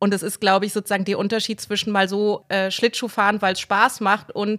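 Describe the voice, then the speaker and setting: In a very clean recording with a silent background and a dry, close sound with no echo, a woman with a plain, everyday voice speaks fairly high and at a fairly quick pace. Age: 30s. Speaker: novelist and journalist. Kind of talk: interview.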